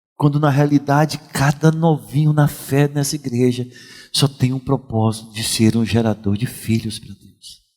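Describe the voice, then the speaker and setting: In a dark, mellow tone, the voice moves at a moderate pace with ordinary pitch variation and big swings in loudness. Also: man, medium pitch for a man. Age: 60s. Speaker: pastor. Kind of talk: sermon.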